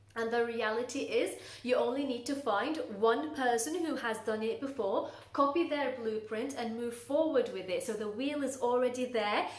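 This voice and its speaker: A woman's high-pitched voice with audible room echo and noticeable background noise. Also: ordinary pitch variation, moderate pace. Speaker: coach for burnt-out professionals. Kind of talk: talking-head advice video.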